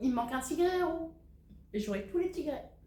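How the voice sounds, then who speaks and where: A woman's animated voice with very wide pitch swings and audible room echo. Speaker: cross-stitch YouTuber. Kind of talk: casual Q&A video. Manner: animated, hesitant with many euh.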